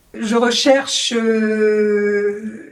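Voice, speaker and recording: A woman's voice with noticeable background noise. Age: 60s. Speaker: job seeker, former banker. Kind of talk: interview self-presentation.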